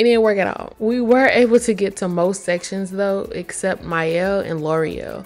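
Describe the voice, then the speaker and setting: A woman speaks at a medium pitch with ordinary pitch variation and hardly any pauses. Music plays in the background. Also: moderate pace. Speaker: vlogger. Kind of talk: casual vlog talk to camera. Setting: at home getting ready, then festival. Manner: casual, chatty.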